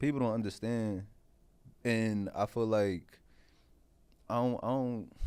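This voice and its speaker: Speaking fairly slowly with long, frequent pauses, a man with a strong Philadelphia accent keeps a medium pitch, very even loudness and fairly even intonation. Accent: strong Philly. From West Philadelphia, US. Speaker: comedian. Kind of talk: casual chat.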